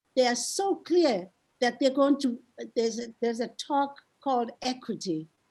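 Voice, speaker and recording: A woman speaks in a high pitch at a moderate pace. Her tone is dark and mellow. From South Africa, township. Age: 80s+. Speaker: community activist. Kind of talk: panel discussion. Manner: halting.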